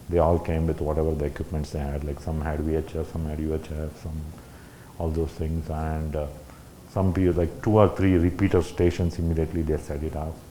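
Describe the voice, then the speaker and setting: The intonation is flat and monotone. The pace is fairly quick. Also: man, very deep, low pitch for a man. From India. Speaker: ham radio operator, guest speaker. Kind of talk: talk at a club meeting. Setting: meeting room with audience. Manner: halting.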